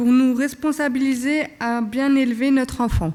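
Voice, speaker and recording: At a fairly slow pace, a woman speaks with a high pitch and fairly even intonation. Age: 20s. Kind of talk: prepared speech read at a conference. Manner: halting.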